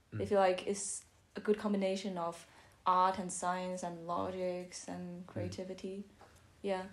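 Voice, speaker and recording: A woman with a Chinese accent, at a moderate pace, in a monotone, flat intonation. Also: medium pitch for a woman. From Beijing, China. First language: Mandarin Chinese. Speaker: architecture student. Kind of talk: podcast interview answer.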